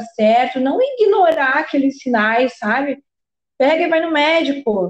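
A woman with a normal speaking voice talks at a fairly slow pace. Her intonation is lively. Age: 30s. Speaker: podcast host. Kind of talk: casual interview chat.

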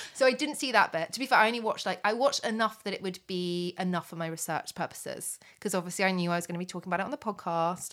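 A woman speaks at a very fast pace with hardly any pauses, in a medium pitch with ordinary pitch variation. The recording is very clean, with a silent background. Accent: British. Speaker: podcast co-host. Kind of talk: casual chat. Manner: chatty, animated.

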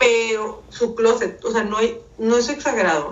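Heard with audible room echo, a woman with a fairly high pitch speaks in a northern Mexican accent. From northern Mexico (Mexicali, Baja California). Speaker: communication and image consultant. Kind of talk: casual chat.

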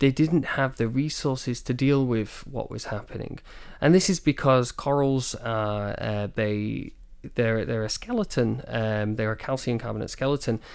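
A man with a Manchester accent speaks at a moderate pace and medium pitch, with ordinary pitch variation. The recording is very clean, with a silent background. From northern England, Manchester. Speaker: marine biologist. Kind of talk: interview. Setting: studio.

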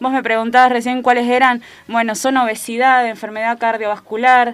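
A woman speaks with monotone, flat intonation. Her pitch is fairly high. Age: 20s. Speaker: primary health care worker. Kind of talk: radio interview. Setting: radio studio. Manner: halting, many fillers.

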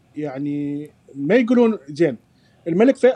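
A man speaks with a dark, mellow tone and lively intonation. The sound is dry and close, with no echo. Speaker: journalist. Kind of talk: casual chat.

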